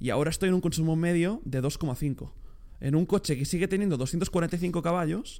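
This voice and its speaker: A man with a high pitch talks fairly slowly, showing ordinary pitch variation. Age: young. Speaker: podcast co-host. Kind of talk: casual chat. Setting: new studio on sofas. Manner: stuttering.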